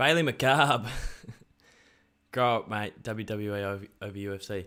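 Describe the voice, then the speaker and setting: Speaking at a moderate pace with an Australian accent, a man sounds animated and excited, his fairly low pitch moving in ordinary ways and his tone bright and sharp. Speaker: sports YouTuber hosting watch-along stream. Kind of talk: live watch-along commentary and chat with viewers. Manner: animated, excited.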